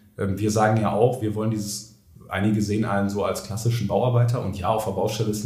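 Very fast and monotone, with flat intonation, a man talks over noticeable background noise. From Ruhr area, Germany. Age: 30s. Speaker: construction business founder. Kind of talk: podcast interview.

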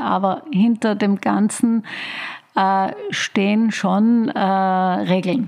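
A woman's mid-range voice, with ordinary pitch movement, is heard against noticeable background noise. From Austria, Tyrol (Oberland). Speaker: creative director and curator. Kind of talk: interview. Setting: her office.

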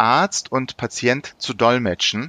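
A dry, close sound with no echo and a bright, sharp tone. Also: man. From Germany (born Istanbul, Turkish parents). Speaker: interpreter. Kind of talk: interview. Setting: remote call.

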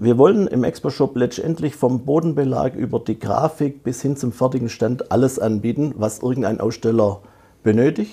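Somewhat breathy and dark, mellow in tone, a man's voice moves at a moderate pace with medium pitch and ordinary pitch variation. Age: 50s. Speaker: digital innovation manager. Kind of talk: interview.

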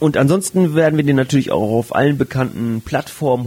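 This man has an ordinary speaking voice, a medium pitch with ordinary variation, and a moderate pace. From northern Germany, Flensburg. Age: 30s. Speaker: sex educator and podcast co-host. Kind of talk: casual chat.

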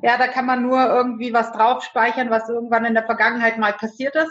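With a plain, everyday voice, a woman speaks fairly quickly at a fairly high pitch. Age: 40s. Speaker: direct sales entrepreneur. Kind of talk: interview.

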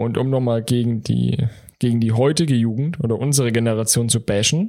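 Here a man uses a normal speaking voice at medium pitch. His intonation stays fairly even. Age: 20s. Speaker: podcast co-host. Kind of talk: casual chat.

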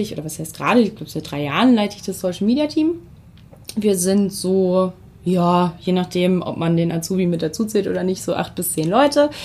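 A woman talks at a moderate pace in a normal speaking voice, her pitch medium and her intonation lively. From Germany, Weserbergland (Hameln). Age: 30s. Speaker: social media team lead. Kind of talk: interview. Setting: conference room.

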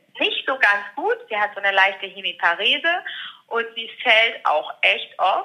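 This woman has a plain, everyday voice. Her pitch is fairly high and her intonation lively. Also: fairly slow pace. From Ruhr area, Germany. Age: 30s. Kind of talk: interview.

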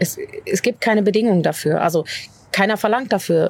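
With lively intonation, an unremarkable speaking voice keeps to a moderate pace. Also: woman. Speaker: pastor. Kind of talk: casual interview chat.

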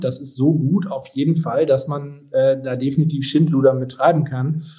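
A man's dark, mellow, somewhat breathy voice at a fairly high pitch, flat and monotone, at a moderate pace. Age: 30s. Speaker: tech company executive. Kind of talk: interview. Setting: home office, remote call.

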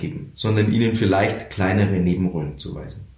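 A somewhat breathy man with a Bavarian accent at a moderate pace, audible room echo around him. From Lower Bavaria, Germany. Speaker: radio comedian and motivational speaker. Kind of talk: interview conversation. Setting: office.

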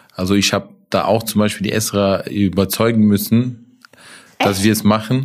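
At a moderate pace, a man speaks in a fairly low pitch with fairly even intonation and very even loudness. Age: 30s. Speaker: food franchise owner. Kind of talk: casual interview. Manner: hesitant, many fillers.

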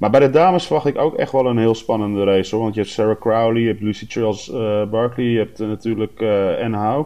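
A man talks very fast at a medium pitch, with hardly any pauses. His pitch varies in an ordinary way. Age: 30s. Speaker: race announcer, event organizer. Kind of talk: casual chat.

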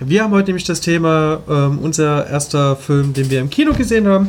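At a moderate pace and with ordinary pitch variation, the speech plays over noticeable background noise. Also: man. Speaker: podcast co-host. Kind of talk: casual chat. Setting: studio.

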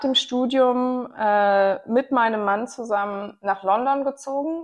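Speaking very slowly, a woman uses a fairly high pitch with ordinary variation. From Rhineland, Germany (Bonn). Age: 30s. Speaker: podcast host and gender equality advocate. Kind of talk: casual discussion.

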